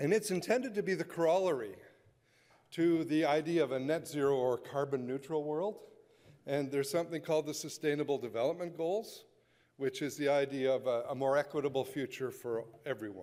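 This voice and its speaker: A man with a Canadian accent speaks at a fairly quick pace in a dark, mellow tone, on a very clean recording with a silent background. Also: ordinary pitch variation. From western Canada. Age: 60s. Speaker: conservationist. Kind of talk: keynote speech. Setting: conference stage with audience. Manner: animated.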